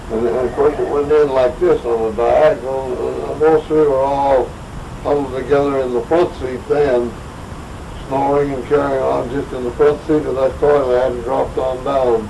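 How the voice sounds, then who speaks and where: A man with an American accent at a medium pitch and moderate pace, his intonation monotone and flat, with noticeable background noise and audible room echo. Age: 80s+. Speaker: local old-timer storyteller. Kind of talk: oral history storytelling. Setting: group gathering in a private home.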